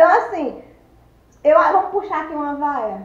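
With a Cearense accent, a woman speaks in a high voice and lively intonation, with audible room echo around her. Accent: Cearense Northeastern Brazilian. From Ceará, Brazil. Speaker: vlogger. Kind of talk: casual talk to camera. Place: home room. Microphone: phone near.

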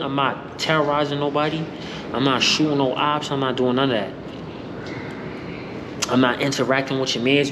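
Noticeable background noise sits behind a man talking at a fairly quick pace with fairly even intonation. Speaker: vlogger. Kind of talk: casual vlog chat. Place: hall. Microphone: phone near.

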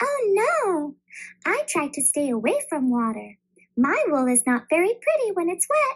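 Someone performs a put-on character voice at an extremely high pitch. The pitch swings very widely. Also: moderate pace.

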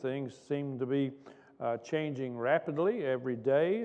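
The man's pitch rises and falls in an ordinary way, with a quiet background behind him. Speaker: pastor. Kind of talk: sermon. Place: church. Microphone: podium.

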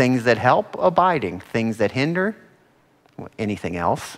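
This man's delivery unfolds at a fairly slow speed. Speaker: Bible study teacher. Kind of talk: sermon. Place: classroom.

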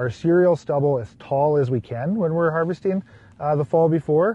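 The somewhat breathy voice moves at a fairly quick pace with ordinary pitch variation, in a dry sound with no echo. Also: man. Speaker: guest. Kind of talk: interview answer. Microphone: lapel.

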